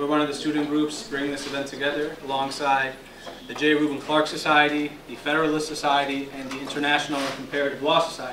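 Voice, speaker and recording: Over noticeable background noise, a man speaks at a fairly high pitch. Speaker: law student. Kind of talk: event introduction. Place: classroom. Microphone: handheld.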